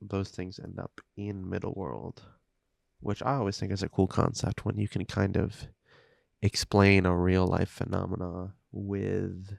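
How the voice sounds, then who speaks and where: Quiet and relaxed in tone, a man speaks at a very slow pace and fairly low pitch with fairly even intonation. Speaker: hobby YouTuber and indie game developer. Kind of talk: casual chat while building a model kit. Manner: relaxed, hesitant with fillers.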